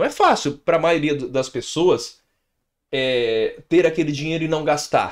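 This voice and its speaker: Over a quiet background, a man has a plain, everyday voice at a fairly high pitch. He moves at a fairly slow pace with fairly even intonation. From Brazil. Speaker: financial educator, channel host; financial educator. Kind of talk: answering viewer question, advice monologue. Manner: casual, conversational with fillers. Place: home room. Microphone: studio mic.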